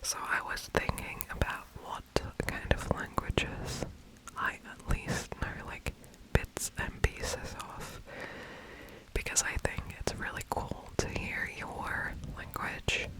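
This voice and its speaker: The voice is a whisper, delivered very slowly. Background noise is noticeable throughout. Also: woman. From Germany. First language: German. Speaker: ASMR creator. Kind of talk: ASMR whispered ramble. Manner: whispering; rambling, hesitant.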